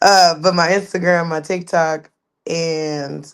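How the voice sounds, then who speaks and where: Here a woman speaks with an Oklahoma accent. Her pitch is very deep and low. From Oklahoma City. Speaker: YouTuber. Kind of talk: casual chat. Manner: animated.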